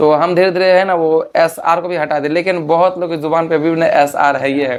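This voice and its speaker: A high-pitched man speaks with monotone, flat intonation. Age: 20s. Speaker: folk singer. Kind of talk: interview. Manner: casual, repetitive.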